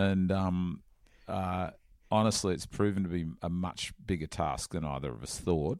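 On a very clean recording with a silent background, a man with an Australian accent speaks at a moderate pace with a very deep, low pitch and ordinary pitch variation. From Australia, Sydney northern beaches. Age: 50s. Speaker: surfing journalist. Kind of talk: casual interview. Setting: in person in California. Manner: halting, many fillers.

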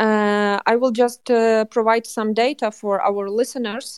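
A woman with a Ukrainian accent, fairly high in pitch, in a dry, close sound with no echo. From western Ukraine, Lviv. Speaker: journalist and culture manager. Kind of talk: interview. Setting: remote call from Ukraine. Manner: halting.

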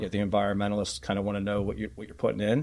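A man with an American accent speaks at a fairly low pitch. The recording is very clean and the background silent. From Philadelphia. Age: 40s. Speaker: data analytics company founder. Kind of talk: interview.

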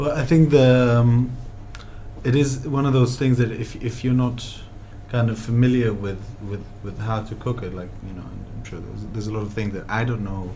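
Over noticeable background noise, a man of medium pitch talks at a moderate pace with ordinary pitch variation and big swings in loudness. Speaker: restaurateur and podcast host. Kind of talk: interview chat about food. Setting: deli, recorded talk.

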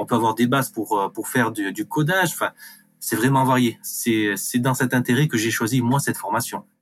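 Over music in the background, a man talks at a moderate pace in a medium pitch with ordinary pitch variation. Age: 30s. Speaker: reiki practitioner and community manager. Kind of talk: testimony. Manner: hesitant, repeating words.

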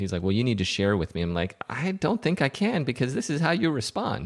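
A man speaks fairly quickly with an American accent, his pitch swinging very widely. The sound is dry and close with no echo, over a quiet background. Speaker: podcast co-panelist. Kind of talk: casual chat.

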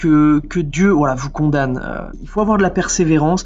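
With ordinary pitch variation, a man speaks fairly quickly at a fairly high pitch. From French Alps (Villard-de-Lans). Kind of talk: testimony. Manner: halting, with many fillers and repetitions.

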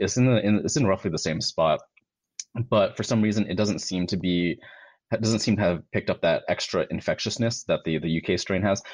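Recorded dry and close with no echo against a quiet background, a man with an unremarkable speaking voice talks at a fairly quick pace, fairly low in pitch with ordinary pitch variation. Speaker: medical doctor. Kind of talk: interview explaining science. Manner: explanatory, uses analogies.

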